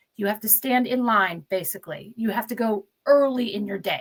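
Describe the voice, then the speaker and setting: A woman speaks with a somewhat breathy quality. Her pitch sits fairly high. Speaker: addiction therapist. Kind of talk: interview.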